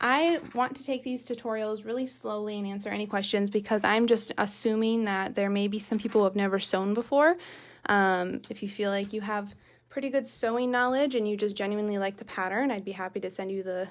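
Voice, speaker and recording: Recorded very cleanly against a silent background, a woman speaks at a fairly quick pace with a fairly high pitch and ordinary pitch variation. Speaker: sewing tutorial host. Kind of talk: live-streamed sewing tutorial. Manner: fast; casual, chatty.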